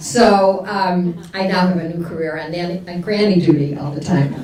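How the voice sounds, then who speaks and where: Amid noticeable background noise and audible room echo, a woman speaks at a fairly slow pace, fairly low in pitch with ordinary pitch variation. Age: 70s. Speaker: retired nonprofit chief executive, panelist. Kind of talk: conference panel discussion. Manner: hesitant, many fillers.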